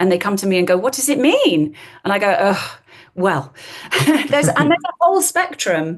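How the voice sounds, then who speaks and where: A woman with an RP accent speaks at a medium pitch with very wide pitch swings. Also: moderate pace. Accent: modern RP, posh English. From London area, England. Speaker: accent coach and actress. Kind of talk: podcast interview.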